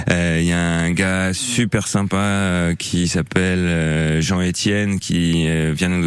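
This man's very deep, low voice moves with ordinary pitch variation. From Normandy, rural. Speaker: permaculture gardener. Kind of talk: radio interview. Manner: halting, many hesitations.

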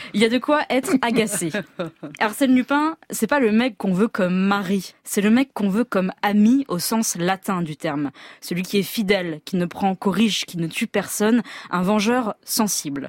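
Speaking at a moderate pace with an Auvergne accent, a woman uses lively intonation. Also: medium pitch for a woman, dry, close sound with no echo. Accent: Clermont-Ferrand. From France, Auvergne (Clermont-Ferrand). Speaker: novelist, regular columnist. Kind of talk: scripted radio column.

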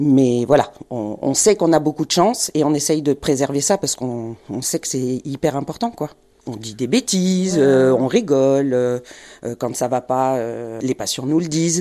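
With a dark, mellow tone and a very deep, low pitch, a woman speaks fairly slowly with lively intonation. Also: quiet background. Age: 50s. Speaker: home nurse. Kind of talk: on-location interview. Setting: in a car. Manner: animated.

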